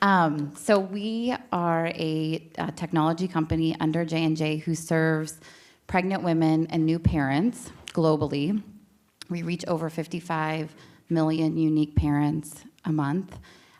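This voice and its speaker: The speaker has an American accent, a fairly slow pace and fairly even intonation. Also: woman, very deep, low pitch for a woman. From Pittsburgh, Pennsylvania. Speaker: tech company manager. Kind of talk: panel introduction. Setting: stage with audience.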